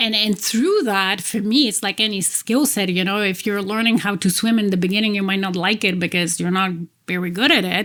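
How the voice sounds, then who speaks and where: A woman at medium pitch with ordinary pitch variation and a fairly quick pace, on a very clean recording with a silent background. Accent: Polish. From Poland. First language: Polish. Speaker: executive coach. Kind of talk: interview.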